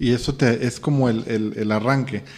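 A man talks at a moderate pace. He has a Mexican accent. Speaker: podcast host, personal growth. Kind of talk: casual chat.

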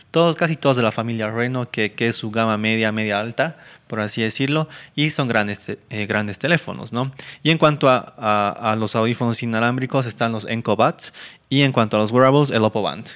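On a very clean recording with a silent background, a man speaks at a fairly quick pace. His pitch is medium, with ordinary variation. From Argentina and Bolivia, born Buenos Aires. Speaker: tech podcast co-host. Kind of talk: casual chat. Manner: halting, repeats words.

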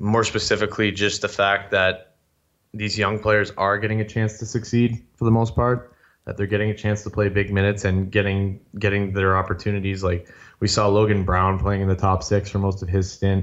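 With a Canadian accent, a man talks at a fairly quick pace in a fairly low, flat monotone. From Ontario, Canada (Sudbury). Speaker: sports blog writer. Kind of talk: casual chat.

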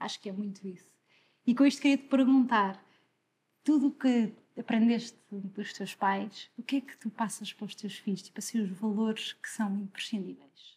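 The voice is somewhat breathy and moves at a moderate pace, with ordinary pitch variation and big swings in loudness. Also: woman, fairly high pitch for a woman. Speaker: podcast host. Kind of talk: interview.

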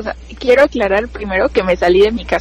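Background noise is clearly audible. Over it comes a woman's voice. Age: 20s. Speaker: biology student. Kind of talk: casual chat, telling personal ghost stories.

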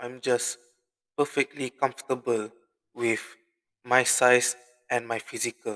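Medium in pitch, a man speaks at a fairly slow pace. The sound is dry and close, with no echo. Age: 20s. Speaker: podcast host. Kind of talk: casual solo monologue.

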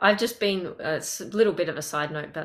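This woman has a medium-pitched voice and talks with an Australian accent. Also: very clean recording, silent background. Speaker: podcast host and language coach. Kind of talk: interview conversation.

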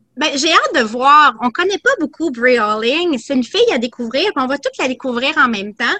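With a raised, projected voice and lively intonation, a woman speaks at a high pitch and moderate pace with hardly any pauses, the sound dry and close with no echo. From Quebec. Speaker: boxing commentator. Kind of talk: casual chat.

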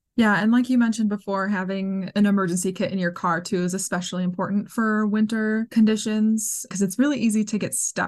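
Very fast, somewhat breathy speech with an American accent, ordinary pitch variation and a quiet background. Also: woman. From US Midwest. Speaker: podcast host and outdoor writer. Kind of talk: interview.

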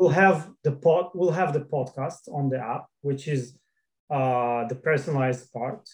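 A somewhat breathy man at a fairly slow pace with ordinary pitch variation. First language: not English. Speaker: startup founder. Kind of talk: interview.

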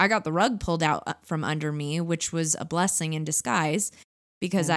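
In a very clean recording with a silent background, a woman with a Californian accent speaks in a fairly low pitch with fairly even intonation. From Southern California (Orange County). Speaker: podcast co-host. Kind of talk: casual chat.

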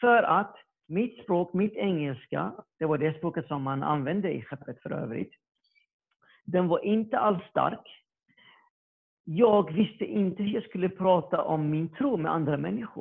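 A man with a high pitch speaks at a fairly slow pace using lively intonation. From Iraq. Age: 30s. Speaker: electronics production worker. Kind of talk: testimony. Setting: video call. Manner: halting.

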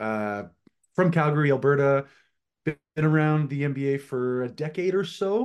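A man speaks in an unremarkable speaking voice at a fairly slow pace against a quiet background. His pitch is fairly high, with ordinary variation. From Atlantic Canada. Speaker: podcast host. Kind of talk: casual chat.

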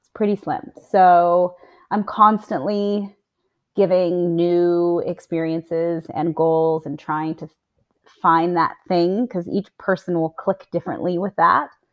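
In an American accent, a woman speaks very slowly at a fairly low pitch. Her intonation stays fairly even while her loudness swings widely. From US, Montana. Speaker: fitness and nutrition coach, business owner. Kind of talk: interview.

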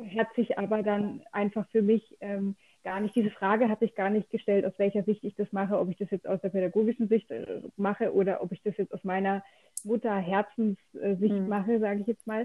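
A woman with a somewhat breathy voice and a medium pitch speaks at a fairly quick pace in a flat, monotone way. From southwest Germany, near Freiburg. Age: 30s. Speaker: cancer patient. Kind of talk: casual interview.

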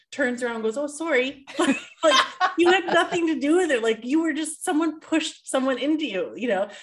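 With a Canadian accent, a woman speaks. Her intonation is lively. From Canada. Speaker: podcast co-host. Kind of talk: casual chat.

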